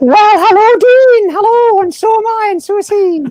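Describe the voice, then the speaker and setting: A woman's put-on character voice in a Scottish accent, extremely high-pitched, at a moderate pace. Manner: comical, chatty.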